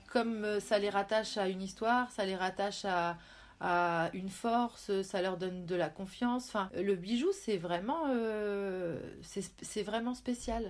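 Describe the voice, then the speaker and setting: A woman at a medium pitch and a very slow pace, with ordinary pitch variation, on a very clean recording with a silent background. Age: 40s. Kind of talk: casual interview.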